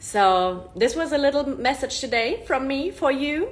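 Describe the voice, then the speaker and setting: Animated in tone, a woman with a German accent speaks at a high pitch with lively intonation. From Germany. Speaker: self-improvement influencer. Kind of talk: casual live-stream monologue.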